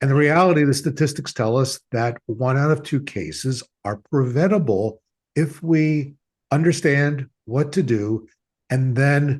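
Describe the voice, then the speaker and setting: A somewhat breathy voice at a fairly slow pace against a quiet background. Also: man, fairly high pitch for a man, ordinary pitch variation. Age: 70s. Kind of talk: podcast interview.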